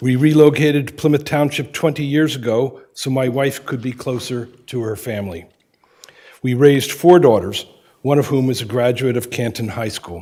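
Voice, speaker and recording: With an American accent, a man speaks in a dark, mellow tone at a moderate pace. His pitch sits in the middle and varies in an ordinary way. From Pennsylvania. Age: 70s. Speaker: candidate for township clerk. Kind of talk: prepared public statement at a meeting. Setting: township board meeting. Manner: formal.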